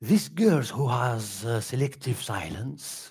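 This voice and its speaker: On a very clean recording with a silent background, a somewhat breathy man of medium pitch speaks at a very slow pace. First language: Kabyle (speaking French). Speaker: puppetry artist. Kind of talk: artist presentation at public talk. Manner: halting.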